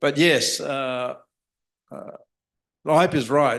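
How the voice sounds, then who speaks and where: A man's medium-pitched voice with fairly even intonation, over a quiet background. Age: 60s. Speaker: neurosurgeon. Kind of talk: panel discussion.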